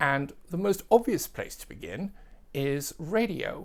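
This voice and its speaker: Someone speaks at a fairly slow pace with an English accent. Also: very clean recording, silent background. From England. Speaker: record collector and music video presenter. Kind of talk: casual tutorial.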